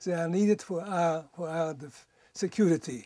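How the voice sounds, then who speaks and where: A man's high-pitched voice with a dark, mellow tone and ordinary pitch variation, dry with no echo, over a quiet background. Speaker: nuclear physicist, Nobel Peace laureate. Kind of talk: interview answer. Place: home room.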